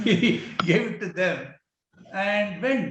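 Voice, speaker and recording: Audible room echo surrounds a man as he talks. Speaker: business executive. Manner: halting.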